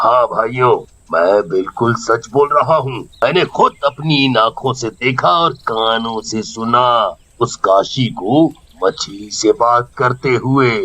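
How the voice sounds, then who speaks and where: This is a cartoonish character voice from a man at medium pitch. He speaks at a fairly slow pace. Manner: gloating, greedy.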